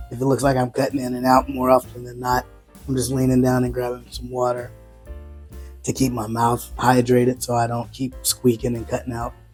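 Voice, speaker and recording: With music in the background, a man talks at a fairly quick pace in a monotone, flat delivery at medium pitch. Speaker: whiskey reviewer. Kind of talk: casual talk to camera.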